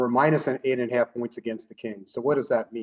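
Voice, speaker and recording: A man speaks at a medium pitch that varies an ordinary amount. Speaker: professor. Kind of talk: lecture. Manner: fast.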